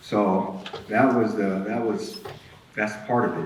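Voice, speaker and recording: Noticeable background noise runs through the clip. Room echo is also audible. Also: man. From Alaska, East Anchorage. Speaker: person in addiction recovery sharing life story. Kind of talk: testimony.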